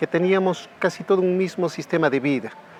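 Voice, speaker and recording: A man keeps his intonation fairly even while noticeable background noise continues. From Peru, Junín. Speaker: interviewee. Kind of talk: testimony.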